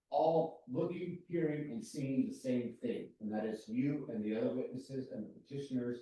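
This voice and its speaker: A man speaks at a medium pitch with hardly any pauses. His voice sounds somewhat breathy. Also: ordinary pitch variation, moderate pace. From New Mexico, Valencia County. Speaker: planning commissioner. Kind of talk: public meeting discussion. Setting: county planning meeting.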